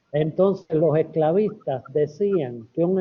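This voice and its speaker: Using an unremarkable speaking voice, a man talks at a fairly high pitch, his pitch varying in an ordinary way. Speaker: epidemiologist and medical historian. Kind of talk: academic lecture Q&A.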